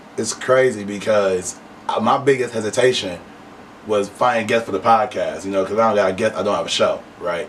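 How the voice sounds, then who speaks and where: Over noticeable background noise, a man with an American accent and a fairly low pitch talks at a fairly quick pace. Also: ordinary pitch variation. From Flint, Michigan. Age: 20s. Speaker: podcast host. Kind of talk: interview.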